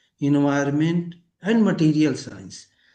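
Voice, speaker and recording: In a room with audible echo, a man with a fairly high pitch, dark, mellow tone and ordinary pitch variation talks at a moderate pace. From India. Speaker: physics professor. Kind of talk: lecture. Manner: halting.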